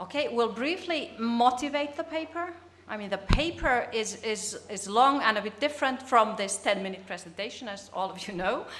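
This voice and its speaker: A woman's fairly high voice with a Finnish accent, lively intonation, big swings in loudness, hardly any pauses and a moderate pace, plus noticeable background noise and audible room echo. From Finland. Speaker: business communication researcher. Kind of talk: conference presentation. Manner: halting.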